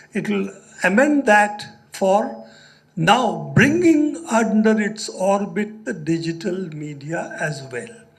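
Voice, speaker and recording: A man's high pitch in very wide swings at a very slow pace, with audible room echo and noticeable background noise. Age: 70s. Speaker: journalist and speaker. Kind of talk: lecture.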